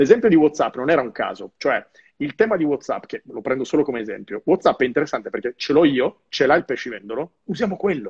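Very fast and somewhat breathy, the voice has lively intonation on a dry, close sound with no echo. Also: man, fairly high pitch for a man. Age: 30s. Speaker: live show host, marketing author. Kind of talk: casual interview. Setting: live video stream.

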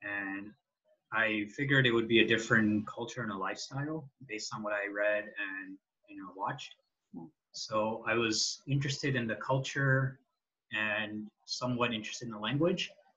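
A man's medium-pitched voice, an ordinary speaking voice, at a moderate pace with ordinary pitch variation and big swings in loudness. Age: 20s. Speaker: software engineer, Japanese learner. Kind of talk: interview about language learning.

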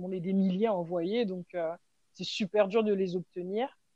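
Fairly even intonation in a woman's voice at a medium pitch. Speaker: hip-hop dancer and choreographer. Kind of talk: interview. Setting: remote call. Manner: hesitant, many fillers.

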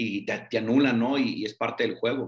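This man talks at a medium pitch. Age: 30s. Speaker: women's football coach. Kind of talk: interview. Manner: halting, repeats words.

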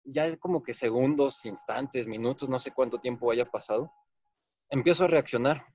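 A man talks in a normal speaking voice at medium pitch, with ordinary pitch variation. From Guanajuato, Mexico. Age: 30s. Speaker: architect and accident survivor. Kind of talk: personal testimony.

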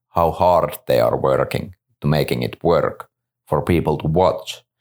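In a Finnish accent, a man speaks at a fairly slow pace. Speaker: disc company staff. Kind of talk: casual interview.

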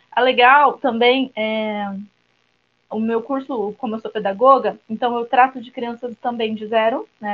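Woman with a fairly high pitch, fairly even intonation and a fairly slow pace. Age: 30s. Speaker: teacher and new doula. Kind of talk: panel discussion.

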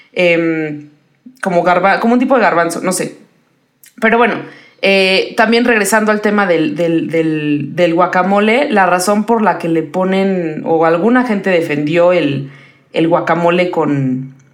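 Fairly low-pitched woman in a Mexican accent, fairly slow with lively intonation, with audible room echo. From Puebla, Mexico. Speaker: podcast co-host. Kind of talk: casual chat.

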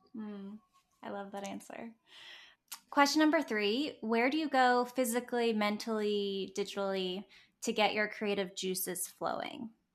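At a moderate pace, a woman talks in a plain, everyday voice with ordinary pitch variation and big swings in loudness. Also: fairly high pitch for a woman, quiet background. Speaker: podcast host. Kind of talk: interview.

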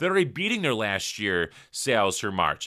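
A loud man with an American accent speaks at a moderate pace in a bright, sharp, animated tone with vocal fry and very wide pitch swings. The recording is very clean with a silent background. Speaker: entrepreneurship podcast host. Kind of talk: solo motivational talk. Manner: loud, animated.

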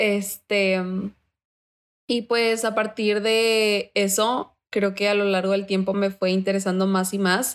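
A woman's very slow, monotone, flat delivery at a medium pitch and very even loudness, on a very clean recording with a silent background. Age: 20s. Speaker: university student. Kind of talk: interview.

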